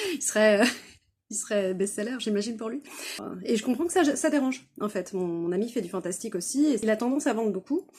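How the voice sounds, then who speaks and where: A woman's fairly high-pitched voice at a fairly quick pace. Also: lively intonation. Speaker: author and craft fair exhibitor. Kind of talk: casual vlog storytelling. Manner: many hesitations (euh); loud.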